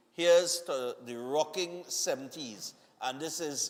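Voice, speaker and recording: Spoken with a Trinidadian accent, the voice rises and falls in an ordinary way. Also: man. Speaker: morning TV show host. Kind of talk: live TV birthday greetings and chat. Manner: casual, conversational.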